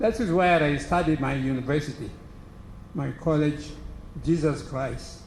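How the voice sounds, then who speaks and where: A man's fairly high-pitched voice at a moderate pace, with ordinary pitch variation and audible room echo. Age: 80s+. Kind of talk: speech to an audience.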